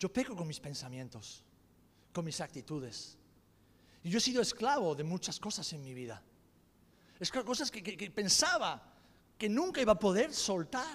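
At a moderate pace, a man speaks high in pitch with very wide pitch swings, big swings in loudness, and long, frequent pauses. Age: 40s. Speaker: pastor. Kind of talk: sermon.

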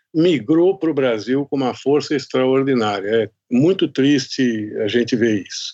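Using a plain, everyday voice, a man speaks fairly slowly with ordinary pitch variation. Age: 60s. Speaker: podcast host, journalist. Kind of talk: interview.

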